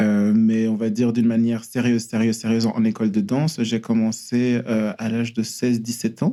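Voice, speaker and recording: A man's medium-pitched, dark, mellow voice in a monotone, flat delivery with very even loudness and hardly any pauses. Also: fairly quick pace. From Belgium, Brussels. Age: 30s. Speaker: ballet dancer. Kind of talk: casual interview chat. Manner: halting, many hesitations and repeated words.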